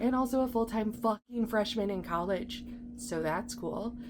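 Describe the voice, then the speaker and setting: A woman speaks at a moderate pace and a fairly high pitch in an upbeat tone. Music can be heard in the background. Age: 30s. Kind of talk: casual talk to camera. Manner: chatty, upbeat.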